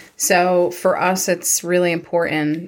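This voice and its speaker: With a Long Island accent, a woman speaks at a fairly low pitch in a flat monotone. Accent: Long Island New York. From Long Island, New York. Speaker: chiropractor. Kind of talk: casual chat.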